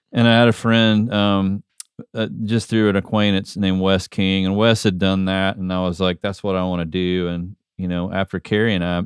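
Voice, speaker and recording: A man with an American accent and a very deep, low pitch, fairly quick in pace and fairly even in intonation. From US South, Metro Atlanta, Georgia. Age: 50s. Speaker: worship leader. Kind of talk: casual chat. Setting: video call.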